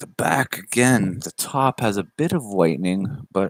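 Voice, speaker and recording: In a Canadian accent, a man with fairly low pitch talks at a fairly slow pace with lively intonation, the sound dry and close with no echo. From Canada. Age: 20s. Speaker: YouTuber opening trading cards. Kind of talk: casual live stream. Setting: livestream. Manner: animated.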